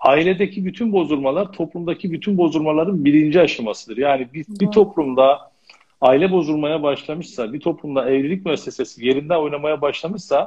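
The background is quiet as a man speaks at a moderate pace. His pitch is fairly high, with ordinary pitch variation. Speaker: family and marriage counselor; guest. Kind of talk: interview. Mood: calm, advisory. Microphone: connection dropped, video froze; video call.

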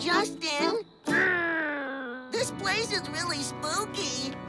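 With faint music in the background, a cartoonish character voice in a bright, sharp tone stretches out at a very slow pace with lively intonation.

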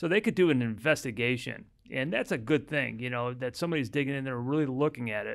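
A man speaks very fast with an American accent and ordinary pitch variation. The background is quiet. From US Midwest (Chicago). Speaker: family law attorney. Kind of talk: casual chat. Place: office. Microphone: studio mic.

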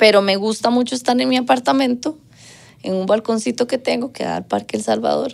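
A woman with a Costa Rican accent at a fairly quick pace. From Costa Rica, Guadalupe. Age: 30s. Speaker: singer; interview guest. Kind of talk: casual chat. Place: studio.

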